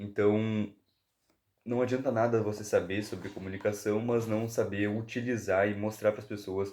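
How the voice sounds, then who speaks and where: A man talks at a fairly slow pace. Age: 20s. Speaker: book review YouTuber. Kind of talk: casual book review monologue. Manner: halting, with self-corrections.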